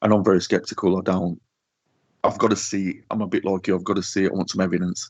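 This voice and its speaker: A man with a Yorkshire accent talks at a very fast pace in a very deep, low voice. His intonation stays monotone and flat. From northern England. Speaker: social media paranormal page runner. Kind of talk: casual chat.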